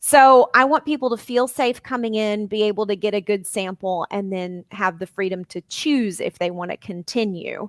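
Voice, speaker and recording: Hardly pausing, a woman of medium pitch with a slight Southern US accent speaks in a very clean recording with a silent background and a dry, close sound with no echo. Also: ordinary pitch variation. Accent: slight Southern drawl. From Arkansas. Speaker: life and weight coach. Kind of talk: podcast interview.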